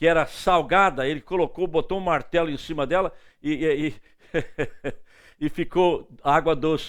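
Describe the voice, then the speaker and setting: Against a silent background in a very clean recording, a man speaks at a high pitch with fairly even intonation. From northeastern Brazil, Recife. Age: 70s. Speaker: evangelist preacher. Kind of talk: sermon.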